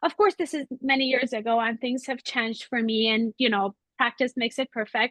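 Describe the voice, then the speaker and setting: A high-pitched woman with a non-native accent at a fairly quick pace. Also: ordinary pitch variation. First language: not English. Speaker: webinar host, art historian. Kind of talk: Q&A moderation. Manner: halting.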